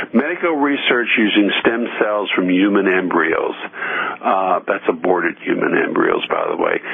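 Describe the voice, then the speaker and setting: A man with an American accent speaks at a moderate pace, his loudness very even. Noticeable background noise runs underneath. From US Midwest, Evansville, Indiana. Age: 60s. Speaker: radio host. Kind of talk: radio talk monologue. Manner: frequent filler words and hesitations.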